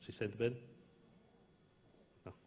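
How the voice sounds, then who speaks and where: Man with an Italian accent amid audible room echo. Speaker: dentist and company founder. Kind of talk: opening speech. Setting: conference stage with audience. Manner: halting.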